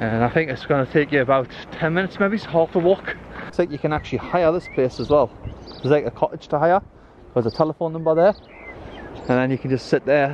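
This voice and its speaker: A man's very fast delivery with ordinary pitch variation, a dry sound with no echo, and light background noise. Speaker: family travel vlogger. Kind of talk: casual vlog chat. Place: open country. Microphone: phone near.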